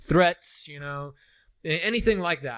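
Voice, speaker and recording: The voice has ordinary pitch variation in a very clean recording with a silent background. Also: man. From South Africa, moved to US as a child. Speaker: college lecturer. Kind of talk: lecture. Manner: casual, conversational.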